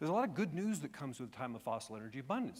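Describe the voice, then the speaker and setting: A man's fairly high-pitched voice with very wide pitch swings, in a very clean recording with a silent background. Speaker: government energy official. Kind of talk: conference presentation. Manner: fast.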